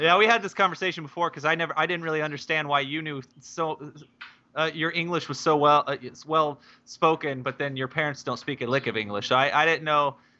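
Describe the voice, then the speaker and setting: A man with an Oklahoma accent talks at a fairly quick pace, his pitch fairly high and its variation ordinary. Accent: Oklahoma American. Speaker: gaming podcast co-host. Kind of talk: casual chat.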